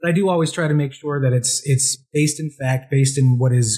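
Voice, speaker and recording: A man with an American accent speaks at a very fast pace. His voice is somewhat breathy, with fairly even intonation. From Pennsylvania. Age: 40s. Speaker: reporter and cartoonist. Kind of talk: interview. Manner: halting, many repeated words. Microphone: poor audio quality from technical issue.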